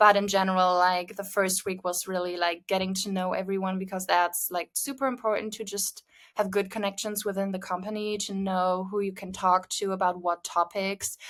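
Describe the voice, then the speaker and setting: Delivered at a moderate pace with hardly any pauses, the speech has a monotone, flat intonation on a very clean recording with a silent background. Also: woman, medium pitch for a woman. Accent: German. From Germany. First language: German. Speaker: social media marketing manager. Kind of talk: podcast interview. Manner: hesitant, many fillers.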